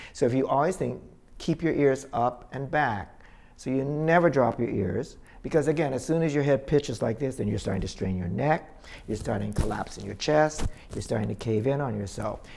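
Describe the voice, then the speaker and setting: With light background noise, a man speaks at a fairly quick pace with vocal fry and lively intonation. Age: 70s. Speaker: dance teacher. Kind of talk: instructional talk. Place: home room.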